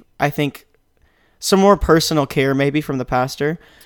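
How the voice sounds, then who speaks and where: A man with a Southern US accent and fairly even intonation, in a dry, close sound with no echo. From Mississippi. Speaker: seminary student. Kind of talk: casual chat.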